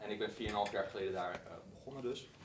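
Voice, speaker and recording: A man's voice amid noticeable background noise and audible room echo. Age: 30s. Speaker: podcast host and company co-founder. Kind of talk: live talk. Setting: stage with audience. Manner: fast.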